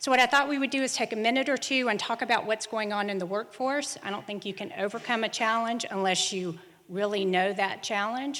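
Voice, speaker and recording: A woman talks at a fairly quick pace with a Southern US accent. Her pitch sits in the medium range. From US South, South Carolina. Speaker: conference speaker, human capital consultant. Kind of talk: conference presentation.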